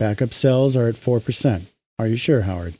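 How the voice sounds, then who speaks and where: Very clean and set against a silent background, the recording has a man in a put-on character voice. He keeps a medium pitch and a fairly quick pace. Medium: read story. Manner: calm, unruffled.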